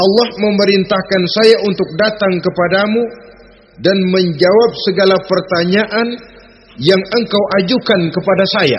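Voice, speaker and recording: A man speaks at a fairly slow pace in a high voice with a Jakarta accent, his loudness very even and his intonation fairly even, over noticeable background noise. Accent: Betawi (Jakarta) dialect. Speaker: Islamic preacher. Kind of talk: religious sermon. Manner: firm, well-paced oratory with humour.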